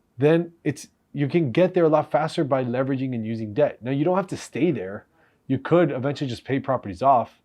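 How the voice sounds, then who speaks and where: A man has an ordinary speaking voice, pitched fairly high. Pitch variation is ordinary, and he moves at a fairly quick pace. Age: 30s. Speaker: real estate investor, reaction video host. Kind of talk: casual reaction commentary.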